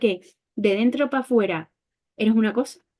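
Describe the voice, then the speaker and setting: This woman's voice has a dark, mellow tone. Her pitch sits fairly high. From Colombia (Barranquilla), raised in Andalusia from age 11. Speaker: social worker specializing in migration. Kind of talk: online talk / panel discussion. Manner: hesitant, many fillers.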